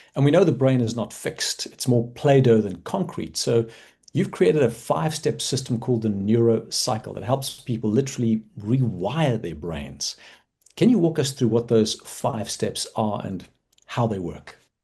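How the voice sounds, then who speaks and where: This man's voice has a medium pitch and a dark, mellow tone, somewhat breathy, at a moderate pace. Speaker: doctor and podcast host. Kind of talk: interview.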